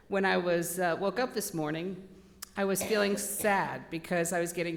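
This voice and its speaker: Audible room echo surrounds speech delivered at a moderate pace with fairly even intonation. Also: woman. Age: 60s. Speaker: spiritualist lecturer. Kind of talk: sermon. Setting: church. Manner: loud.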